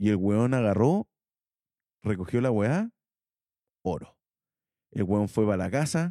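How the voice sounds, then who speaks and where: A man speaks at a fairly slow pace with lively intonation, a medium pitch and a dark, mellow tone, the sound dry and close with no echo. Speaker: podcast co-host. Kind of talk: casual chat.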